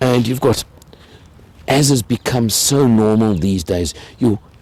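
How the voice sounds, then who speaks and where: A man is heard over noticeable background noise. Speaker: car reviewer. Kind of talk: car review walkaround.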